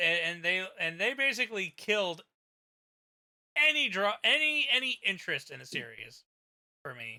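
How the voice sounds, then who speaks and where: Raising and projecting his voice, a man with a high pitch and bright, sharp tone speaks at a moderate pace, his pitch swinging very widely between long, frequent pauses. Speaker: streamer. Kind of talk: casual chat. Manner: loud.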